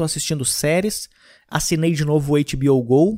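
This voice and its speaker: A man talks in a plain, everyday voice, fairly high in pitch with fairly even intonation. The recording is very clean, with a silent background. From Rio Grande do Sul, Brazil (Gramado). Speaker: stand-up comedian and podcast host. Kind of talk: casual monologue.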